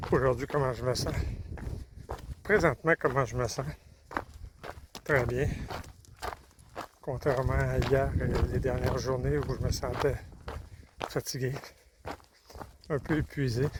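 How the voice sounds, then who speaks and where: Over noticeable background noise, a man talks at a very slow pace and medium pitch, with ordinary pitch variation and long, frequent pauses. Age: 60s. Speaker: long-distance hiker vlogger. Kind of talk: video diary. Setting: outdoors. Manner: halting.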